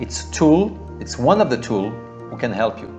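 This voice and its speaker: Music plays in the background. A man speaks with a French accent at a fairly slow pace. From France. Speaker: life coach. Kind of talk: motivational talk to camera.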